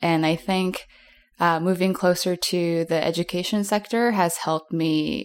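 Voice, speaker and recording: In an American accent, a woman with a plain, everyday voice talks at a fairly low pitch and moderate pace with fairly even intonation, on a very clean recording with a silent background. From US East Coast. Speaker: artist and educator. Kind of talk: interview conversation.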